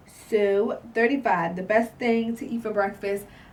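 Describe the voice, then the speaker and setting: The speaker is a woman. Her voice has a somewhat breathy quality. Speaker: YouTuber. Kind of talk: casual vlog Q&A. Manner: halting; filler-heavy.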